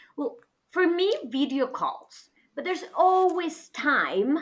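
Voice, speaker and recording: A bright, sharp female voice, raised and projected. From northwest Spain. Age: 30s. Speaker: podcast guest, international educator. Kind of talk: casual interview chat.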